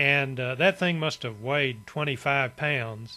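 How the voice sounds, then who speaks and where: A man with an Appalachian accent has a fairly high pitch, a bright, sharp tone and ordinary pitch variation. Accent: Southern Appalachian US. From East Tennessee, US. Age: 70s. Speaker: storyteller, vlogger. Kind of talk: personal reminiscence monologue. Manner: relaxed, conversational with fillers.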